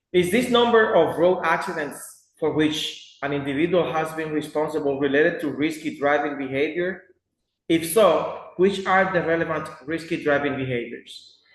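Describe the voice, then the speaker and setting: Heard with audible room echo, a man with a fairly high voice speaks at a moderate pace with ordinary pitch variation. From Dominican Republic. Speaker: student. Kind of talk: class presentation.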